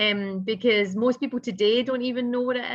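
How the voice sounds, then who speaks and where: A woman with a Scottish accent talks at a moderate pace with fairly even intonation. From Scotland. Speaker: business founder and consultant. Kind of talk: interview.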